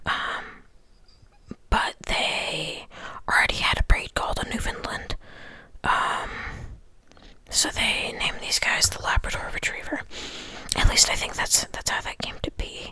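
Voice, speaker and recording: A man whispers in a relaxed tone at a fairly slow pace, with long, frequent pauses, over noticeable background noise. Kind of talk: whispered ASMR ramble to camera. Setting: close-mic recording at home. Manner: whispered, soft-spoken, relaxed.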